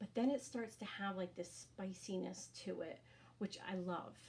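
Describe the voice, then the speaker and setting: A woman with an American accent talks at a moderate pace and medium pitch. Her pitch varies in an ordinary way, with vocal fry. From Rhode Island, US.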